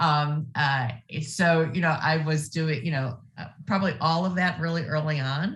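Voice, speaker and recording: A woman with an American accent speaks at a moderate pace with hardly any pauses. Her voice is very deep and low in pitch, somewhat breathy, with fairly even intonation. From US Midwest, Ohio. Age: 60s. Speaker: nonprofit executive. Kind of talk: interview.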